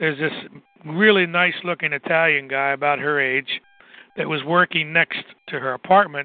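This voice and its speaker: A man with an American accent talks at a moderate pace. His pitch is fairly high and his intonation fairly even. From southwest Pennsylvania. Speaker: radio co-host, retired teacher. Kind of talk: casual chat.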